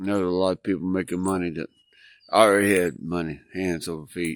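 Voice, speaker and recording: With a very deep, low pitch, a man talks at a moderate pace and ordinary pitch variation on a very clean recording with a silent background. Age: 60s. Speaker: homesteader vlogger. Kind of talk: casual vlog monologue.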